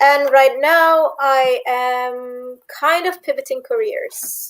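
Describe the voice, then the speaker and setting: At a very slow pace, a woman talks in a high pitch. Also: ordinary pitch variation. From Istanbul, Turkey. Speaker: PhD student. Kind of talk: panel discussion.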